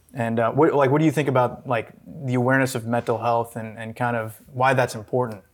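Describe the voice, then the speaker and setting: Here is a man with an unremarkable speaking voice and a medium pitch. He talks at a fairly quick pace with fairly even intonation and hardly any pauses. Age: 30s. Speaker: podcast host and producer. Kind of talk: interview.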